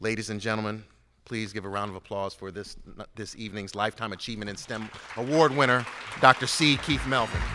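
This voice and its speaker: Music plays behind a man talking at a very fast pace. His fairly low voice has ordinary pitch variation and big swings in loudness. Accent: American. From Cincinnati, Ohio, US Midwest. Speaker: award presenter, physician. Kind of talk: award introduction speech. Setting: stage with audience.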